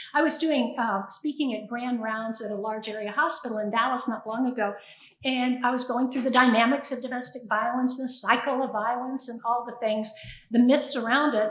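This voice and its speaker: There is noticeable background noise and audible room echo. A woman with a high pitch talks at a moderate pace with fairly even intonation. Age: 70s. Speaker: domestic violence shelter leader. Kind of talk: panel talk.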